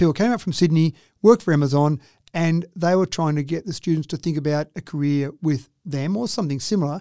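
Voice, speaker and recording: Very fast and fairly high-pitched, a man speaks in a dark, mellow tone with ordinary pitch variation, in a dry, close sound with no echo on a very clean recording with a silent background. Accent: Australian. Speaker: mayor. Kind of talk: radio interview.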